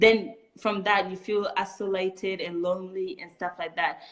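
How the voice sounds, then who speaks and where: A woman with a French accent talks at a medium pitch with fairly even intonation. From Chad. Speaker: refugee, community founder. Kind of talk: interview.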